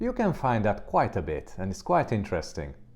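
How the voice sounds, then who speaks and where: Over a quiet background, a man speaks with a non-native accent. His voice is medium-pitched with a dark, mellow tone. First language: not English. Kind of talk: commentary monologue.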